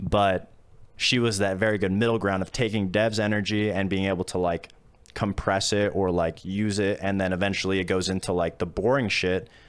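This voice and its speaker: Fairly low in pitch, the man's voice stays monotone and flat. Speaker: retired esports pro player and caster. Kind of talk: podcast interview.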